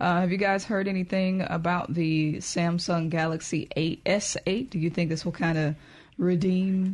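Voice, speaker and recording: In a Southern US accent, the voice is somewhat breathy and very even in loudness, fairly slow, with fairly even intonation against a quiet background. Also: woman, fairly low pitch for a woman. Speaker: radio host. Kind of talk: casual chat.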